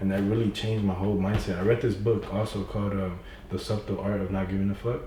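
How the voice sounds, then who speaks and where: A man with a fairly low pitch talks at a very fast pace. Audible room echo and noticeable background noise fill the recording. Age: young. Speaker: young entrepreneur. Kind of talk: casual chat. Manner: animated.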